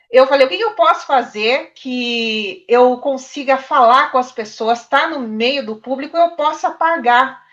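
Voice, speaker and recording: A woman's high-pitched voice with lively intonation, fairly slow yet with hardly any pauses, against a quiet background. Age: 30s. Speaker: journalism student. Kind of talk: panel discussion.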